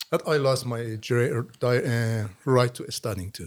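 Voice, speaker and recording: Speaking with a Persian accent, a man talks at a medium pitch and a fairly slow pace. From Iran. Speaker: author. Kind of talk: interview. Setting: studio. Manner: halting.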